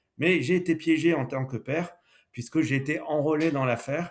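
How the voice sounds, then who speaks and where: A man's somewhat breathy voice carries ordinary pitch variation at a moderate pace. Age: 60s. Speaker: entrepreneur, former car dealer. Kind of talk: podcast interview.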